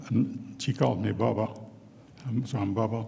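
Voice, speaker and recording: A man with a Newfoundland accent has a dark, mellow tone, medium pitch and vocal fry. His intonation stays fairly even. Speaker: retired First Nation chief, award honouree. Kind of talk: award acceptance speech.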